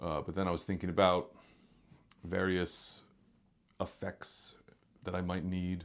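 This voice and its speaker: Very deep and low, a man's voice moves at a moderate pace in a very clean recording with a silent background. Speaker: musician, guitarist. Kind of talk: casual vlog talk. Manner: halting, many fillers.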